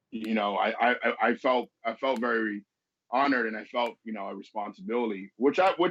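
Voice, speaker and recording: The speaker is a man. He talks with a New York accent. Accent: New York accent, can switch accents. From Venezuela, moved to US as teenager. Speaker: business consultant. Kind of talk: interview conversation.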